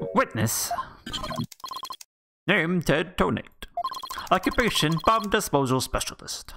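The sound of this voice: A man does a put-on character voice at a high pitch. He goes fairly slowly, with long, frequent pauses.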